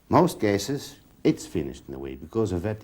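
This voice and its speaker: Vocal fry over a dark, mellow tone. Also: man. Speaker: pigeon health specialist. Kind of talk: interview. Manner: halting.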